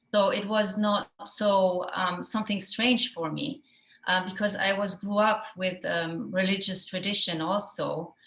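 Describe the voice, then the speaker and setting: At a fairly slow pace, a woman with a German accent speaks at medium pitch with fairly even intonation. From Iran and Germany. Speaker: actress. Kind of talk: festival Q&A. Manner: halting.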